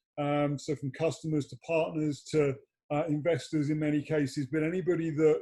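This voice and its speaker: A man talks at a fairly quick pace in a fairly high pitch, his dark, mellow tone somewhat breathy and his intonation monotone and flat. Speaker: PR and marketing founder. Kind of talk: livestream interview. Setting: video call.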